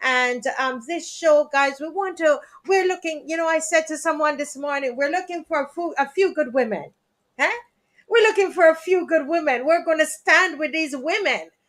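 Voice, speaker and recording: Extremely high pitch from a woman at a moderate pace, with ordinary pitch variation. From Jamaica. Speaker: talk show host. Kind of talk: live stream talk show. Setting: live stream.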